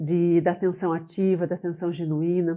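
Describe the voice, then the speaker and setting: In a plain, everyday voice, a woman talks at a moderate pace and a medium pitch. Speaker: business owner and trainer. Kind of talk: online class. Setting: live online session.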